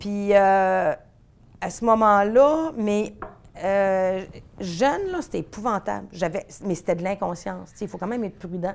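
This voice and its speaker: A woman speaks with a medium pitch. Her pitch varies in an ordinary way. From Quebec City, Quebec. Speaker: veterinarian. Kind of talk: interview. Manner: fast; animated.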